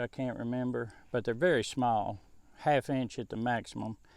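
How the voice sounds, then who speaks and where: Here a man talks at a medium pitch with fairly even intonation. The recording is very clean and the background silent. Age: 70s. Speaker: home gardener and musician. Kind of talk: casual vlog tutorial. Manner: casual, rambling with fillers.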